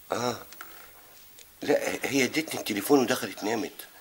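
Light background noise accompanies a man talking at a fairly slow pace. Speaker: drama actor playing a husband on the phone. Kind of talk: acted phone conversation. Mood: flirtatious, secretive, amused. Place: home room. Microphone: camera far.

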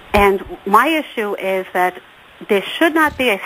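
Noticeable background noise accompanies speech with lively intonation. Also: woman. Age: 50s. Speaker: caller, nurse.

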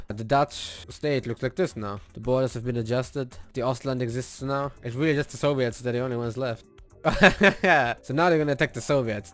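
This man talks at a moderate pace with ordinary pitch variation. The sound is dry with no echo, and faint music plays in the background. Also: hardly any pauses. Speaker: gaming video creator. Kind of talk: casual gameplay commentary. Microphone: studio mic.

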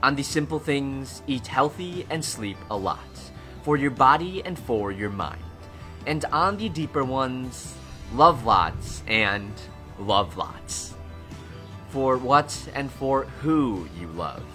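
Music plays in the background as a man speaks at a very slow pace. His medium-pitched voice makes very wide pitch swings. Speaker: travel vlogger. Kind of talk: personal documentary voice-over narration.

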